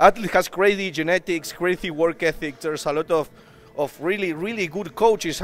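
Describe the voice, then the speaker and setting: With music in the background, a man with a high pitch talks at a fairly quick pace, his intonation fairly even. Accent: Argentine. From Argentina. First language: Spanish. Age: 20s. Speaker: bodybuilder. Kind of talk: casual interview. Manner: halting.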